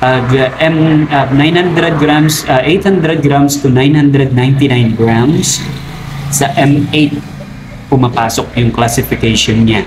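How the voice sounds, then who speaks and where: The speech comes at a fairly slow pace with fairly even intonation and very even loudness, over noticeable background noise and audible room echo. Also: man, fairly high pitch for a man. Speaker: crab trader vlogger. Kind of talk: tutorial. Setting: outdoors by the roadside.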